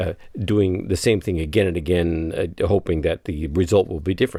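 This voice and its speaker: A dark, mellow tone colors the man's voice. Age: 60s. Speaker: podcaster. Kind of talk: personal audio journal monologue. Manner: halting, many repetitions and fillers; stammering.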